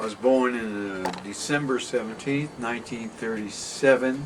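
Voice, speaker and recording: In a room with audible echo and noticeable background noise, a man talks fairly slowly at a medium pitch with ordinary pitch variation. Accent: American. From New York (Westchester/Bronx border). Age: 70s. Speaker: artist. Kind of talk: interview, life story. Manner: casual, rambling.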